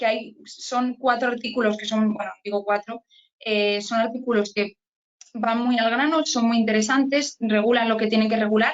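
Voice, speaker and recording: A woman with a fairly high pitch and a normal speaking voice talks with fairly even intonation. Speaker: immigration lawyer. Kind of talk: online training talk.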